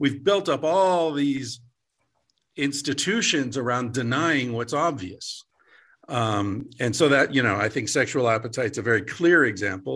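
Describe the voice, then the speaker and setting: An unremarkable speaking voice moves at a fairly slow pace with lively intonation. The background is quiet. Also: man, medium pitch for a man. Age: 50s. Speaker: author and psychologist. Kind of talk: interview.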